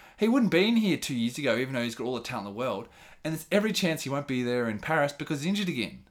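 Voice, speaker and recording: A man with an Australian accent speaks very fast in a fairly high, animated voice with very wide pitch swings, on a very clean recording with a silent background. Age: 30s. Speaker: running enthusiast, host's best friend. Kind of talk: casual chat.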